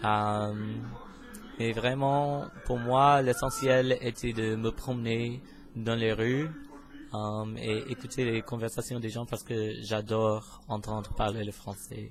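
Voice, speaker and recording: Using an English accent, a man speaks at a very slow pace and a medium pitch. His intonation is fairly even, and he takes long, frequent pauses. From US, Pennsylvania. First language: English (speaking French). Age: 20s. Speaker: university student, vlogger. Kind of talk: casual self-introduction vlog. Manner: hesitant, many filler sounds.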